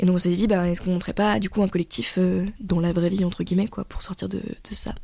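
Speaking very fast, a woman with a medium-pitched, dark and mellow tone keeps her intonation fairly even on a very clean recording with a silent background. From France, Paris. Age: 20s. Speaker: university student. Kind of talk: testimony. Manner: hesitant, many fillers.

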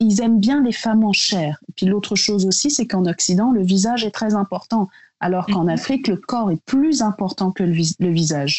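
Somewhat breathy, a woman at a medium pitch speaks at a fairly slow pace with ordinary pitch variation. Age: 30s. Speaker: beauty brand founder. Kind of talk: casual interview.

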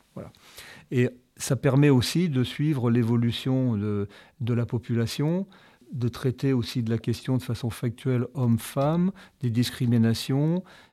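On a very clean recording with a silent background, a man speaks fairly slowly with long, frequent pauses. His tone is dark and mellow, at medium pitch with ordinary pitch variation. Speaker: engineering association president. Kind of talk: interview.

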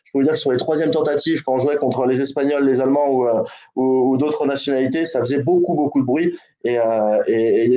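A man with a dark, mellow tone speaks at a fairly high pitch. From American heritage. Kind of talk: casual chat.

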